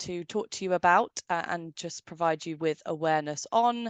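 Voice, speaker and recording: In a British accent, a woman speaks with ordinary pitch variation. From United Kingdom. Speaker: software company representative. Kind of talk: webinar presentation. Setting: online webinar.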